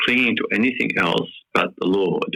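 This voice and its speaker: The speaker is a man at a moderate pace. He talks with an Australian accent. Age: 70s. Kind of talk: interview. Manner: hesitant with many fillers.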